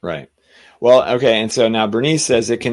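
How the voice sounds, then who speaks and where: A man, quiet background. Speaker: spiritual podcast co-host. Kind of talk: casual chat.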